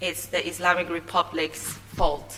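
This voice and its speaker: There is noticeable background noise. A woman is the one speaking. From Iran. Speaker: confidence coach and TV producer. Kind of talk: conference talk. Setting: stage with audience. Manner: halting.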